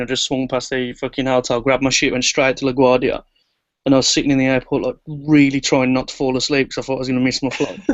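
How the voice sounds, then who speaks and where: At a very fast pace, a man talks in a medium-pitched voice. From England. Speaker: music producer. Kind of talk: casual chat.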